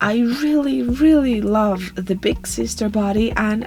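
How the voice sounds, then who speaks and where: Over noticeable background noise, a woman with a non-native accent speaks at a fairly slow pace and a fairly high pitch, her pitch swinging very widely. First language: not English. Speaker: doll customizing video creator. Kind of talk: voiceover tutorial narration.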